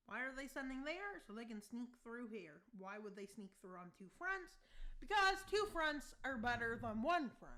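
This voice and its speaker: A woman's high-pitched voice, bright and sharp in tone, swings widely in both pitch and loudness. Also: moderate pace. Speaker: YouTuber narrating a map war scenario. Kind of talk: casual commentary over map gameplay. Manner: mumbling in other videos, now speaking up.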